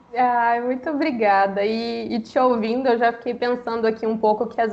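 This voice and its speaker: With a plain, everyday voice, a woman speaks at a fairly high pitch. Her pace is moderate. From Brazil, Minas Gerais. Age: 20s. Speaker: book influencer. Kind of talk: casual chat.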